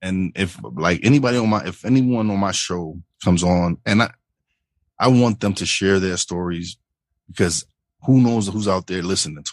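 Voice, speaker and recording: A man with a New York accent, very deep and low in pitch with ordinary variation, at a moderate pace against a quiet background. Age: 40s. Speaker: podcast host. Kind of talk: casual interview chat.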